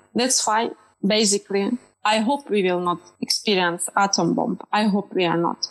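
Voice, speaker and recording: A woman's medium-pitched voice at a moderate pace, with ordinary pitch variation and music in the background. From Ukraine. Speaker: film director. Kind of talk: panel discussion.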